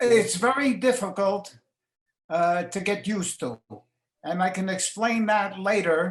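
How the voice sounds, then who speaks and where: A man speaks in a New York accent at a fairly slow pace, with long, frequent pauses. His pitch is high for a man, with ordinary pitch variation. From New York City. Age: 90s. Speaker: retiree interviewee. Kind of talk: interview. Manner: halting.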